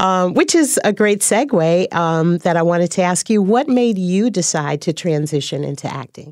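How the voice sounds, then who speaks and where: Speaking at a moderate pace with hardly any pauses, a woman has an ordinary speaking voice at medium pitch. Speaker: acting coach and podcast host. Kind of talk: interview.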